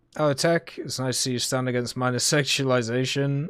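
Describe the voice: Here a man speaks at a medium pitch. His tone is clear, smooth and fairly bright.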